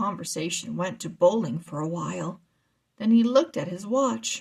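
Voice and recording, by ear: A woman with a fairly low pitch speaks at a moderate pace, her slightly mellow tone carrying a slightly husky edge, vocal fry and lively intonation.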